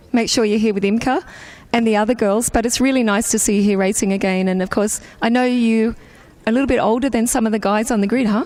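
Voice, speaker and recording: A woman with an Australian accent, fairly high-pitched, at a very fast pace, with very even loudness and fairly even intonation. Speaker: pit lane interviewer at kart race. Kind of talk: trackside interviews.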